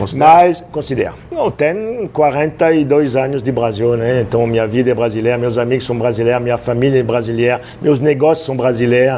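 With noticeable background noise behind him, a man speaks in a French accent. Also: medium pitch for a man, ordinary pitch variation, moderate pace, hardly any pauses. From France, Roanne. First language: French (speaking Portuguese). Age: 60s. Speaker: chef. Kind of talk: casual interview.

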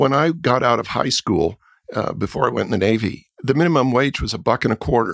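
A man at medium pitch with vocal fry, lively intonation and a fairly quick pace, in a very clean, silent-background recording with a dry, close sound and no echo. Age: 70s. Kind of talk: casual conversation.

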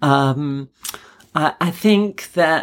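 Here a woman speaks with an English accent. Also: very clean recording, silent background. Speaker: clinical hypnotherapist and naturopath. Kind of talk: interview.

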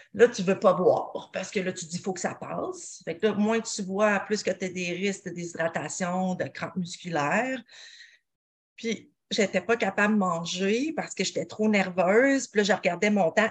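This woman speaks at medium pitch in a Quebec accent. Her voice is somewhat breathy, and the background is quiet. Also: ordinary pitch variation, moderate pace. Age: 40s. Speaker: nutritionist and mountain athlete. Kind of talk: podcast interview.

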